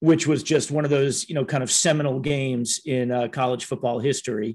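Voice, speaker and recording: An unremarkable speaking voice from a man with an American accent, medium pitch, fairly even intonation and a fairly quick pace against a quiet background. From US Midwest, Minneapolis and Cleveland. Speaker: podcast host. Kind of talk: interview.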